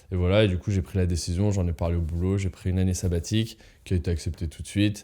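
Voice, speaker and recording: A man's very deep, low voice with a dark, mellow tone, very fast delivery and fairly even intonation, on a very clean recording against a silent background. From France, Lyon. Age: 30s. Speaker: traveller, engineer. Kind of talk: interview testimony. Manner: hesitant, many fillers.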